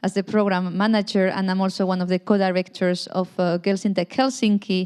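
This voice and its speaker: A woman with a Spanish accent talks at a moderate pace. The background is quiet. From Spain. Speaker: panel moderator. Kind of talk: panel discussion.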